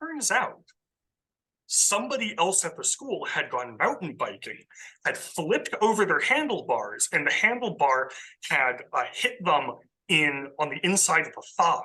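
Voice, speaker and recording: In an American accent, a raised, projected voice with a bright, sharp tone moves at a fairly slow pace. The pitch swings are very wide. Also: man, high pitch for a man. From US West Coast, coastal Southern California. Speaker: ecologist. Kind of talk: casual interview. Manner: loud.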